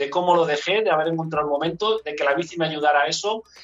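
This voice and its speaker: Here is a man with a plain, everyday voice, pitched fairly high for a man. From Enguera, Valencia region, Spain. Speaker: amateur cyclist, former basketball player. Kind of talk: casual chat.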